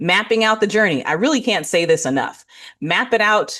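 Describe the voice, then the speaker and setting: With an American accent, this voice has a bright, sharp tone, very wide pitch swings and vocal fry, moving at a moderate pace against a quiet background. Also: woman. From California. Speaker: business strategist and marketing presenter. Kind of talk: business presentation.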